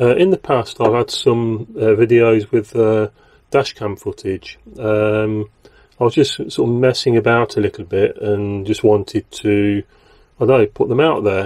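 With a quiet background, a man speaks at a moderate pace. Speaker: channel host. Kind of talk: casual vlog chat. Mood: relaxed, hesitant. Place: car. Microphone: lapel.

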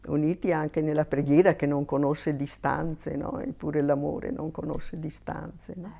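A woman speaks at a moderate pace with a very deep, low pitch and a dark, mellow tone. Her voice has vocal fry, ordinary pitch variation, and big swings in loudness. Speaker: missionary nun; interviewee. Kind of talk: interview testimony. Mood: warm, reflective. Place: home room. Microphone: lapel.

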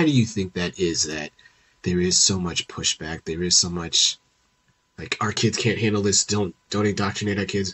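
With a very deep, low pitch, the man delivers his words at a moderate pace. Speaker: podcast host and middle school teacher. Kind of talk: casual interview. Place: home room. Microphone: headset.

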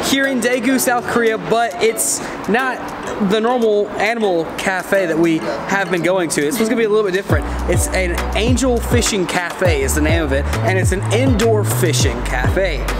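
A man talks at a moderate pace while clear music is heard in the background. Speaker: travel vlogger. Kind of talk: casual vlog chat. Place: street. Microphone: phone near.

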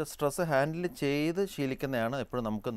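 A man's unremarkable speaking voice with lively intonation, dry with no echo. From Kerala. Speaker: neurosurgeon; guest. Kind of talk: TV health phone-in. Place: studio. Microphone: lapel.

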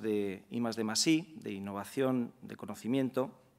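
A man in a normal speaking voice, at a moderate pace with ordinary pitch variation. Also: quiet background. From Spain. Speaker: law professor and director general; speaker. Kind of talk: lecture. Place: hall. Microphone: podium.

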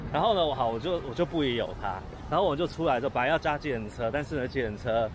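A man talks at a very fast pace. The sound is dry with no echo, though noticeable background noise comes through. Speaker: vlogger. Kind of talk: casual vlog chat. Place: street. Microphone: phone near.

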